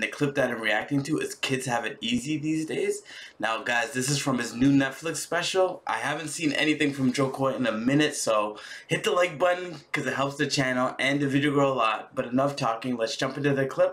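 A fairly high male voice at a fairly quick pace with ordinary pitch variation. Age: 30s. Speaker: reaction video youtuber. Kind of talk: casual reaction commentary. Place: home room.

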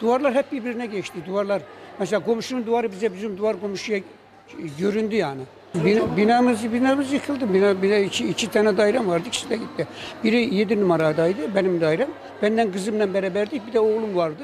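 A man speaks at a very fast pace in a high pitch, with ordinary pitch variation. Light background noise sits behind him. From Kırıkhan, Hatay, Turkey. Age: 70s. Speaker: earthquake survivor, amateur poet. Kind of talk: interview answer. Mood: sorrowful, recounting loss. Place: hall. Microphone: handheld.

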